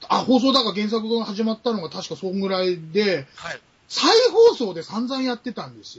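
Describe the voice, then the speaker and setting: Talking at a fairly quick pace, a man with a high-pitched voice shows ordinary pitch variation and big swings in loudness. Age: middle-aged. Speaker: podcast guest, film buff. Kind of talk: casual chat.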